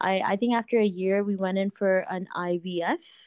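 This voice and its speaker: A woman speaks in an ordinary speaking voice at a medium pitch and moderate pace, her intonation fairly even, with a dry, close sound and no echo. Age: 30s. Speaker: woman going through fertility treatment. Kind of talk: coaching call, personal story.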